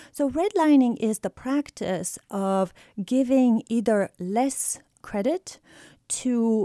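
Lively intonation and a dark, mellow tone mark this voice with a Bulgarian accent, in a very clean recording with a silent background. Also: woman, dry, close sound with no echo. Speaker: economics professor. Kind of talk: interview.

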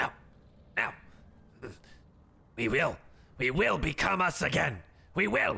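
Using a put-on character voice, a man talks at a fairly slow pace with long, frequent pauses. The voice is raspy and medium in pitch. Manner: eerie, halting.

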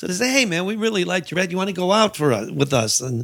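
In an American accent, a man with a bright, sharp tone and lively intonation speaks at a very fast pace on a very clean recording with a silent background. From Chicago South Side. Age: 50s. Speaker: stand-up comedian. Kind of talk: casual chat.

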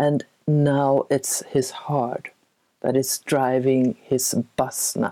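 A woman speaks with a Swedish accent in a very deep, low pitch. Her tone is dark and mellow, and the sound is dry and close with no echo. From Sweden. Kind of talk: interview. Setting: video call.

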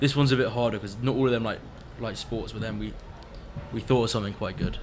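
Speaking at a very fast pace, a man with a British accent uses a medium pitch. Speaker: radio host at summer camp. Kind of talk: casual radio show chat. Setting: studio.

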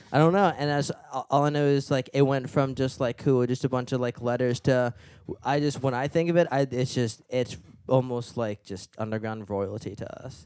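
On a very clean recording with a silent background, a man of medium pitch talks at a moderate pace with ordinary pitch variation. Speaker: musician, guitarist. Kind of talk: casual chat. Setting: studio. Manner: halting, many fillers.

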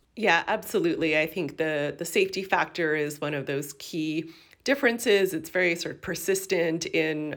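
With a Canadian accent and an ordinary speaking voice, a woman talks at a fairly slow pace and fairly low pitch on a very clean recording with a silent background. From Canada, Toronto area. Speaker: geography professor and author. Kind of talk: interview.

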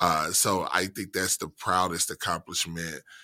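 A man with an American accent, very deep and low in pitch, with vocal fry, a bright, sharp tone and fairly even intonation, in a very clean, dry, close recording with no echo and a silent background. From central Mississippi, US South. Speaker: university diversity administrator. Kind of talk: interview.

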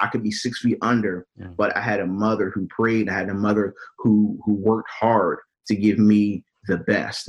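With music in the background, a man with a fairly low voice speaks in an American accent. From US Mid-Atlantic, Wilmington, Delaware. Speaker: minister and network engineer. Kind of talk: podcast interview.

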